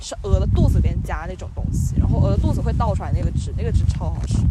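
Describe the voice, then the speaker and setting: Speech rushes at a very fast pace against noticeable background noise. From Guangdong, China. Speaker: podcast host. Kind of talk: casual chat. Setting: outdoors on a playground climbing frame. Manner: animated, joking.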